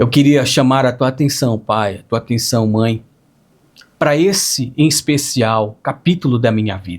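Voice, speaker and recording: A man speaks at a fairly slow pace. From northern Brazil, Pará (Capanema). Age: 30s. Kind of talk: religious testimony. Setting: small gathering with pastor and friends.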